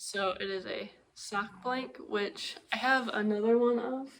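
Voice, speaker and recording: A woman speaks very slowly in a fairly high voice, her pitch moving in an ordinary way. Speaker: knitting podcaster. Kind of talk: casual vlog chat.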